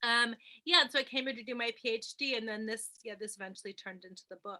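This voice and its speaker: In a New York accent, a woman speaks at a very fast pace with a bright, sharp tone, a fairly high pitch with ordinary variation, and big swings in loudness. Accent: American (New York). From New York, US. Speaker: film lecturer and author. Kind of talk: interview. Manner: hesitant, many fillers.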